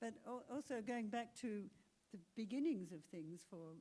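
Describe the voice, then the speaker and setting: A woman with an Australian accent, dark and mellow in tone, at a moderate pace. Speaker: actor and singer. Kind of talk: panel talk.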